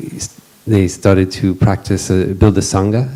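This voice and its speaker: A man at a fairly low pitch with fairly even intonation, amid noticeable background noise. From Western country. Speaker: monastic panel moderator. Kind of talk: panel introduction at retreat. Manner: halting, many fillers.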